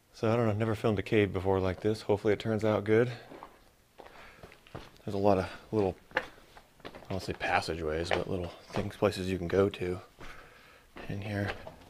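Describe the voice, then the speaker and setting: Very fast talking from a man, with noticeable background noise. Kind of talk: casual vlog chat. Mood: slightly cautious. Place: tunnel cave. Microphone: phone near.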